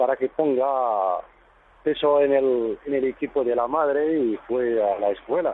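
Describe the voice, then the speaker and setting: With ordinary pitch variation, a man delivers his words fairly slowly in a fairly high pitch. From Morocco, High Atlas. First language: Berber (Tamazight) (speaking Spanish). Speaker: tour guide. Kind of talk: radio interview. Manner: halting.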